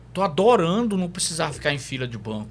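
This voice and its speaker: Audible room echo surrounds a man who speaks at a high pitch and a moderate pace with very wide pitch swings. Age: 60s. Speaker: psychologist. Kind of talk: podcast interview.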